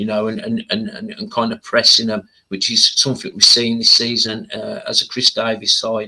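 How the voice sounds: Bright and sharp in tone, a man speaks at a moderate pace with little pitch movement.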